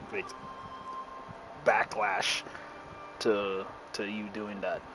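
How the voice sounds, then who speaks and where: A man speaks at a very slow pace while noticeable background noise plays around him. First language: not English. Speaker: gaming streamer. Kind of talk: gameplay commentary. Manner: casual, halting.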